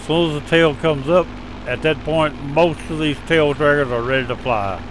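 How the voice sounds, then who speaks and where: A man with a fairly high-pitched voice speaks at a fairly slow pace over noticeable background noise. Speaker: flight simulator video narrator. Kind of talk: tutorial. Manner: loud.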